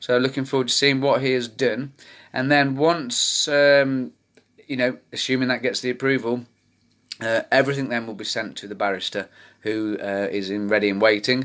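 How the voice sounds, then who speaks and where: The speaker has a British accent and ordinary pitch variation. The recording is very clean, with a silent background. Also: man, medium pitch for a man. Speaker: campaign group founder. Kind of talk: live video update to community. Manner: fast.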